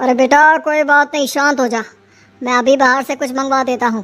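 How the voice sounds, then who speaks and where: A woman does a cartoonish character voice at a fairly quick pace. Faint music plays in the background. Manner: gruff, commanding.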